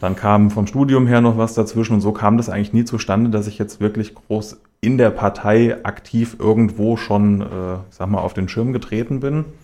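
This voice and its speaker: The voice has a dark, mellow tone and runs on with hardly any pauses. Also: man, fairly low pitch for a man, fairly even intonation, moderate pace. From Hesse, Germany (Schlüchtern, Main-Kinzig). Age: 30s. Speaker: mayoral candidate. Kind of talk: radio interview. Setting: radio studio.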